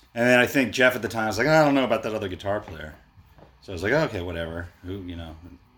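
A man with an American accent talks at a very fast pace in a fairly low voice, his intonation lively and his loudness swinging widely. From Baltimore, Maryland, US. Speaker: musician. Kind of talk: casual chat.

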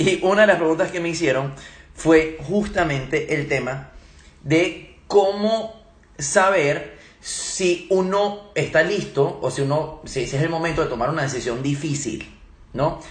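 Amid noticeable background noise and audible room echo, a man with a fairly high pitch speaks at a fairly slow pace with ordinary pitch variation. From Venezuela and Germany. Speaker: leadership trainer. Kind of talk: live Q&A talk. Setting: Instagram live stream.

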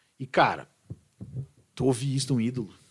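A man's somewhat breathy voice at medium pitch. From southern Brazil, Serra Gaúcha (Bento Gonçalves). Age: 40s. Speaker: rock singer. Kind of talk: casual chat. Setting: studio.

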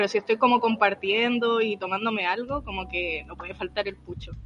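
Over noticeable background noise, a woman with a Chilean accent speaks fairly quickly at a fairly high pitch. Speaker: podcast co-host. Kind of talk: casual chat.

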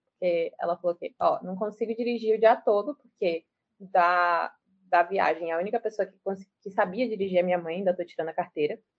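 A woman with a plain, everyday voice at medium pitch, fairly quick pace, ordinary pitch variation and big swings in loudness. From Brazil, Salvador, Bahia. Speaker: law student and activist. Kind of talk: casual interview.

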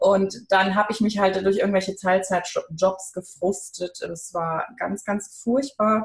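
A woman's somewhat breathy voice at medium pitch, very slow yet with hardly any pauses, and fairly even intonation. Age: 40s. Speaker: brand coach. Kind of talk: interview.

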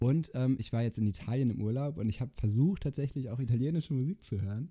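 Very fast speech comes from a man at medium pitch. His voice has a dark, mellow tone and is somewhat breathy. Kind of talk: casual chat.

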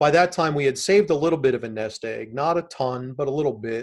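The recording is very clean with a silent background, capturing a man with an ordinary speaking voice. He speaks at a moderate pace with a fairly high pitch and lively intonation. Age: 50s. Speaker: real estate investor, military retiree. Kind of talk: interview.

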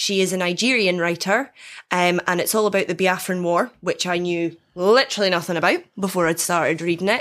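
A woman speaks with a Scottish accent at a medium pitch. Her pace is fairly quick and her loudness very even. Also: fairly even intonation. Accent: Scottish but softer than typical Dundonian. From Dundee, Scotland. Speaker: guest player in game. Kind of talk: casual banter, question game. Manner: light, laughing often.

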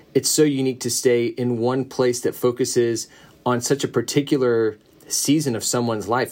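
At a moderate pace, a man with a medium-pitched voice talks in an unremarkable speaking voice. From US South. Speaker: pastor. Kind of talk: casual chat. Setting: video call.

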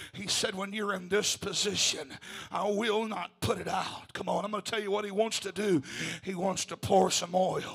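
Against noticeable background noise, the speech keeps a moderate pace and a fairly even intonation. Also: man, high pitch for a man. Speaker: preacher. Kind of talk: sermon. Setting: church. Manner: urgent, fervent, exhorting.

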